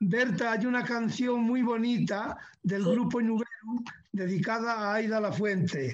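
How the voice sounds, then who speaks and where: With fairly even intonation and very even loudness, a man with a high pitch speaks at a fairly slow pace. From Asturias, Spain (Gijón). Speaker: panelist. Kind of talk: interview.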